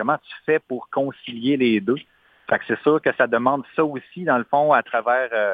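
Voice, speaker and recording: A man uses a normal speaking voice at medium pitch. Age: 40s. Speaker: singer-songwriter. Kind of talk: interview.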